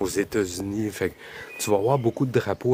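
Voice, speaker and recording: Over noticeable background noise, a man talks at a moderate pace in a fairly low voice with fairly even intonation. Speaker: travel vlogger. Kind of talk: live-stream walking vlog. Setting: outdoors. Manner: loud; casual, rambling.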